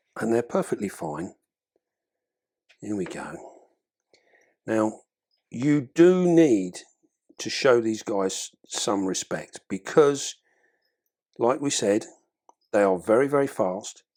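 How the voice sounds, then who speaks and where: With an English accent, a man talks at a very slow pace, at a medium pitch. His pitch swings very widely, and he takes long, frequent pauses. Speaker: exotic pet keeper and video creator. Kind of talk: tutorial. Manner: heavy breathing.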